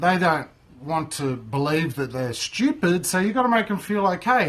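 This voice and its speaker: An Australian accent at a moderate pace. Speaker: microgreens grower and market stallholder. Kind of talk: casual tutorial monologue.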